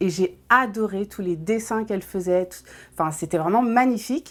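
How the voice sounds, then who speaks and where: The background is silent and the recording very clean. Here a woman talks at a moderate pace, her pitch varying in an ordinary way. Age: 30s. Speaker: nail technician. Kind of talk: interview testimony. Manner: hesitant, many fillers.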